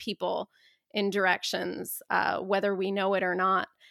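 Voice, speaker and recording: A woman with an American accent at a medium pitch and moderate pace, bright and sharp in tone, in a very clean recording with a silent background and a dry, close sound with no echo. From US Midwest, Dayton, Ohio. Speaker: author and activist. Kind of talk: interview conversation.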